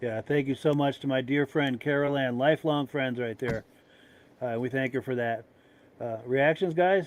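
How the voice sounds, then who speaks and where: This man has a normal speaking voice at medium pitch. He keeps a moderate pace with fairly even intonation. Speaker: podcast host. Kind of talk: casual chat.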